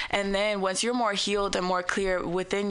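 Noticeable background noise behind a woman's medium-pitched voice. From San Francisco Bay Area. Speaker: rapper. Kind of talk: radio interview.

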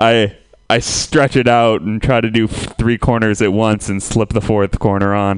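A man with an American accent speaks at a fairly low pitch. His pace is fairly slow and his intonation flat and monotone. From Santa Rosa, California. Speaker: comedian. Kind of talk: stand-up.

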